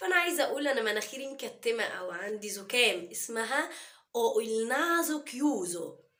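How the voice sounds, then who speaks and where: With lively intonation and a fairly high pitch, a woman speaks at a moderate pace amid audible room echo. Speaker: Italian language teacher. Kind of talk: language tutorial.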